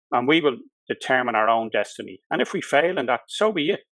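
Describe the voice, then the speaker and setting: Speaking in a Dublin accent, a man with a fairly high pitch talks at a fairly quick pace with lively intonation. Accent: Dublin Irish. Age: 60s. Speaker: political candidate, solicitor. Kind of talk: interview.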